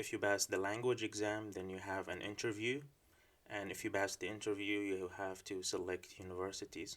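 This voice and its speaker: The man speaks with an Arabic accent at a moderate pace. His intonation is monotone and flat. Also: fairly low pitch for a man. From Syria. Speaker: PhD student. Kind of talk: informational talk. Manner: hesitant with filler words.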